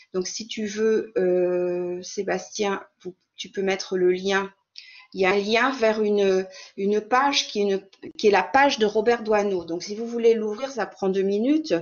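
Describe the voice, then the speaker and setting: A woman speaks at a medium pitch and a fairly slow pace. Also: ordinary pitch variation. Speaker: French teacher presenting a webinar. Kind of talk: online lecture for teachers. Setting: video call webinar. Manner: halting, many repetitions and fillers.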